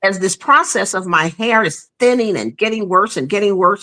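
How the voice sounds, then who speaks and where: A woman at medium pitch speaks with lively intonation, a bright, sharp tone and vocal fry. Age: 60s. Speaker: guest sharing hair loss story. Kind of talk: personal testimony in conversation.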